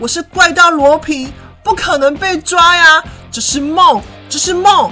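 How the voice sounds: In a put-on character voice, a woman speaks at an extremely high pitch with a bright, sharp tone and ordinary pitch variation, over faint music in the background. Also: fairly slow pace.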